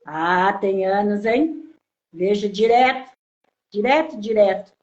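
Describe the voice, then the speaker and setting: A woman takes a very slow pace, her intonation lively throughout. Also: medium pitch for a woman. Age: 60s. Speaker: follower, interviewee. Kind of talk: interview.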